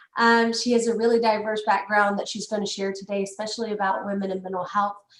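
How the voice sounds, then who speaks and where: A woman with a Southern US accent speaks very fast in a medium pitch with monotone, flat intonation. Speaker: webinar host. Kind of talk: event introduction.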